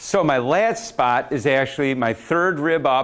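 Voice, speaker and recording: A man with an unremarkable speaking voice, medium pitch and a fairly slow pace, on a very clean recording with a silent background. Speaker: speed coach presenter. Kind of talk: live workshop demo.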